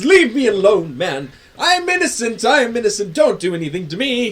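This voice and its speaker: A man's shrill, high-pitched put-on character voice with very wide pitch swings at a fairly quick pace. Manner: shrieking, pleading, panicked.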